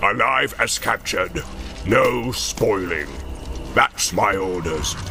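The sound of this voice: A man growls in a put-on character voice, his pitch fairly low and his pace fairly slow. Background noise is clearly audible.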